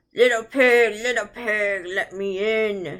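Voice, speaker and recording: Using a put-on character voice, a woman talks at a fairly high pitch and a fairly slow pace. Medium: read story. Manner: blustering, threatening.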